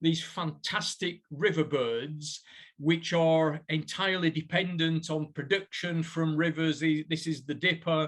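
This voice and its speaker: The recording is very clean, with a silent background. A man speaks at a high pitch with fairly even intonation. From northern England, Burnley, Lancashire. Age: 60s. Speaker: professor. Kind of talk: lecture.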